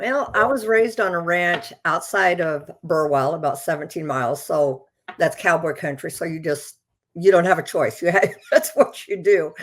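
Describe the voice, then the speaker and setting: In an American accent, a woman with a fairly low pitch speaks at a moderate pace with lively intonation. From Nebraska, USA. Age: 60s. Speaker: rancher and horse competitor. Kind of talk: interview answer.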